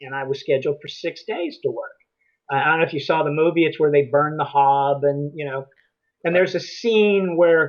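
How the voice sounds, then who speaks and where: This is a normal speaking voice with ordinary pitch variation and a fairly quick pace. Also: man, fairly high pitch for a man. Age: 60s. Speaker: retiree turned character actor. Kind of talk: interview.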